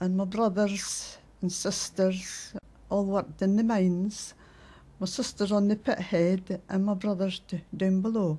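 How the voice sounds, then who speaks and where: A woman with a Scottish accent speaks at medium pitch in a dark, mellow, somewhat breathy tone. Her delivery is fairly slow, monotone and flat, at very even loudness. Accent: Fife Scots. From Scotland, Fife (Lochgelly). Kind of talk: interview testimony.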